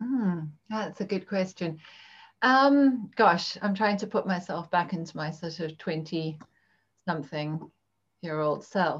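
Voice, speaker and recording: A woman speaks very slowly in a fairly low, somewhat breathy voice. Her intonation is lively, and the background is quiet. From Zimbabwe. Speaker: parenting coach. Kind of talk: casual interview.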